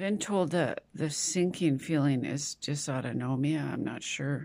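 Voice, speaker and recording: A woman with a very deep, low voice sounds tired, her dark, mellow tone marked by vocal fry. She talks at a fairly slow pace with ordinary pitch variation against a quiet background. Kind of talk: casual vlog chat. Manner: tired, weak, unwell voice. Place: home room. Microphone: phone near.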